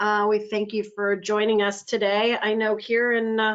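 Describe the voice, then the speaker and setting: A woman talks with a slight Pittsburgh accent. Her pitch is fairly high, and her pace is moderate. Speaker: user group host. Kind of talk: webinar introduction. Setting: webinar.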